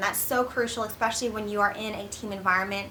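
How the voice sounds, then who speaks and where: With noticeable background noise and audible room echo, a woman talks at a fairly quick pace with ordinary pitch variation. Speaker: accountant and career vlogger. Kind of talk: advice vlog. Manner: fast; casual, filler-heavy.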